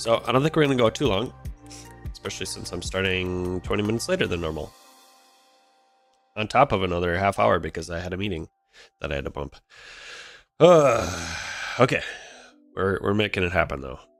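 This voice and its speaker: Over background music, a man with a very deep, low pitch speaks at a fairly quick pace, his pitch swinging very widely between long, frequent pauses. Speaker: programming live streamer. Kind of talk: live coding tutorial. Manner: casual, filler-heavy.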